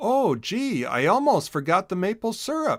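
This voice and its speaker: A man's high-pitched put-on character voice at a moderate pace. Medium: read story.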